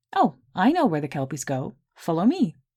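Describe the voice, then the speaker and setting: Someone performs a put-on character voice. Its pitch is in the middle range. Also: moderate pace. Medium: read story.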